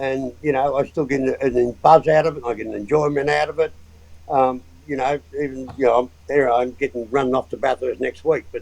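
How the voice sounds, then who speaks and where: A man speaks with an Australian accent at medium pitch. His pace is moderate and his intonation flat and monotone. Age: 70s. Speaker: motorsport engineer and mechanic. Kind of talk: casual interview chat.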